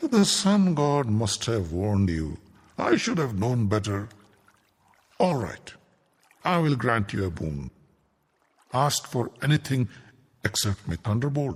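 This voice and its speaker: Using a put-on character voice at a medium pitch, a man speaks at a fairly slow pace with long, frequent pauses. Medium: read story. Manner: measured, solemn.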